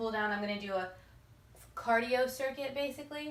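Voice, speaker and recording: Amid audible room echo, a woman speaks fairly quickly at a fairly high pitch with fairly even intonation. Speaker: fitness youtuber. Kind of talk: tutorial. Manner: fast.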